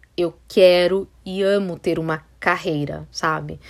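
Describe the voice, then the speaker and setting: Talking at a very slow speed, a woman has a fairly low voice whose pitch varies in an ordinary way. The audio is very clean and the background is silent. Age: 30s. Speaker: podcast host, style consultant. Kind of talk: casual monologue. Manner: animated.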